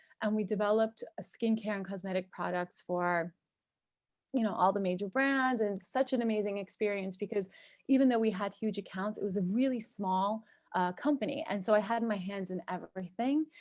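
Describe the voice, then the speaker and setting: A woman speaks at a fairly quick pace with a medium pitch and ordinary pitch variation, on a very clean recording with a silent background. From US, New York and New Jersey. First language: Turkish. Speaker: cosmetic chemist and entrepreneur. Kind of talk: podcast interview.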